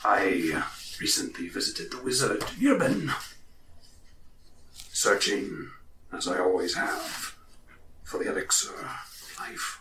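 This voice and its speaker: Putting on a character voice, a man speaks fairly slowly with long, frequent pauses. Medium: actual play. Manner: cryptic, eccentric.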